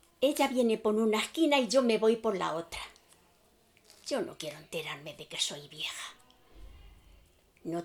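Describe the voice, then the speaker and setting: A woman's medium-pitched voice at a moderate pace, with very wide pitch swings, big swings in loudness, and long, frequent pauses. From Spain, Aranjuez. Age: 90s. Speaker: elderly witness. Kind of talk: testimony.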